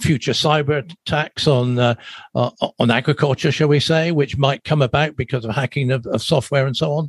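The sound is dry and close with no echo. A somewhat breathy man talks at a moderate pace. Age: 70s. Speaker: agricultural podcast host. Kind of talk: interview. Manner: halting.

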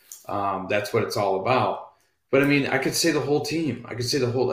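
Somewhat breathy, a man talks at a very fast pace in an American accent. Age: 30s. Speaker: radio co-host and producer. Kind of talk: casual chat. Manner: hesitant fillers.

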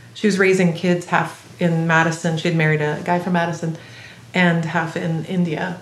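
There is audible room echo around a woman with a fairly low pitch. She talks at a fairly quick pace. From Belgium, Singapore and US Midwest (moved often). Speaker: improvising cellist. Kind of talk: casual interview.

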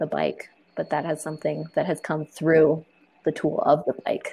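A woman with an American accent talks at a fairly slow pace. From Arizona, Tucson. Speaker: community organizer and cycling advocate. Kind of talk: casual interview chat.

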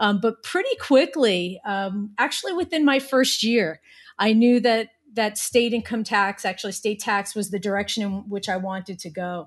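A normal speaking voice with an American accent, moderate in pace, ordinary in pitch variation, over a quiet background. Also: woman, fairly high pitch for a woman. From New Jersey. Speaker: corporate tax director. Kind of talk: interview.

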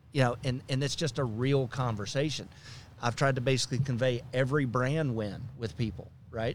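At a moderate pace, a man with a normal speaking voice keeps a medium pitch and fairly even intonation. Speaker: business executive. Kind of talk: casual interview.

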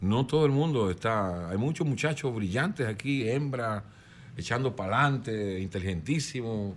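Medium-pitched man with an unremarkable speaking voice, lively intonation and a moderate pace. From Dominican Republic, El Cedro de Miches. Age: 60s. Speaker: singer-songwriter. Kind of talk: interview.

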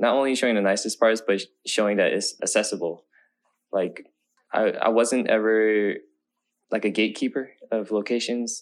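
Pausing long and often, a man speaks at a moderate pace and medium pitch with fairly even intonation over a quiet background. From US West Coast, Oakland. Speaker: filmmaker and content creator. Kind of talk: casual interview.

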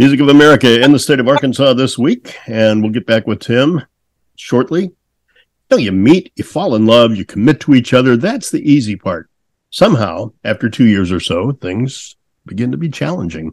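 Here a man talks in a plain, everyday voice at a medium pitch and moderate pace, his intonation lively. The recording is dry and close, with no echo. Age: 60s. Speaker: podcast host. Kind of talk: casual interview chat.

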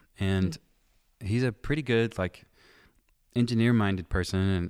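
A man's plain, everyday voice at a moderate pace, with ordinary pitch variation, on a very clean recording with a silent background. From East Tennessee, then Chicago from age ten. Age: young. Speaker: music producer and mixing engineer. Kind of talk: casual interview chat. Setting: recording studio.

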